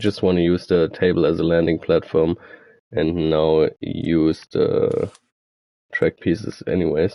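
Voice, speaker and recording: With a German accent, a man speaks at a fairly slow pace and very even loudness. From Germany. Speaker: gaming streamer. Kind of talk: tutorial. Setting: live stream. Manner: mumbling; halting.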